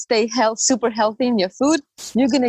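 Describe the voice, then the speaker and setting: The voice is somewhat breathy, with ordinary variation in pitch. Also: woman. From Latvia, Riga. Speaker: pole dancer. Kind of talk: casual interview chat. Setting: podcast interview. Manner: halting, many fillers and repeated words.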